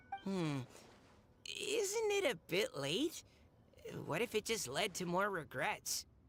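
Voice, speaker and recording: A put-on character voice sits at a fairly high pitch. It moves at a fairly slow pace with long, frequent pauses. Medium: video game. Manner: hesitant, downbeat.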